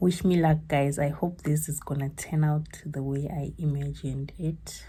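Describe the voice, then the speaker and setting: A woman speaks quietly with a very deep, low pitch and a somewhat breathy quality. Her intonation is monotone and flat. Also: moderate pace. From South Africa. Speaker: vlogger. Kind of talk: casual vlog. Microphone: no microphone, poor sound.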